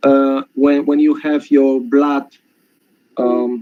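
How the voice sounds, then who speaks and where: A man with a non-native accent speaks at a fairly slow pace. His fairly high voice has a dark, mellow tone. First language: not English. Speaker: webinar participant sharing a testimonial. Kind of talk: testimony. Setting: webinar call. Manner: halting.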